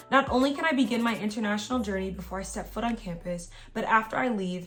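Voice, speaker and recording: Her pitch moves in an ordinary way. The woman speaks very fast. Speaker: YouTuber giving college advice. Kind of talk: reading aloud; casual vlog talk. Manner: stumbles over words when reading; filler-heavy casual speech.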